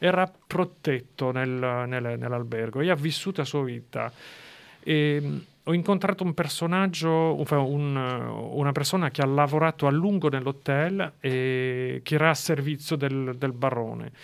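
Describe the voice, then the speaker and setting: A man's fairly high, fairly slow speech in a French accent, with ordinary pitch variation. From eastern France. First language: French (speaking Italian). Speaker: writer. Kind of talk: interview. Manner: halting.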